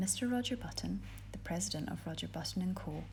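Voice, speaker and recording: The speaker is soft-spoken, with a Scottish accent. Background noise is noticeable. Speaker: ASMR reader. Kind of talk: reading aloud.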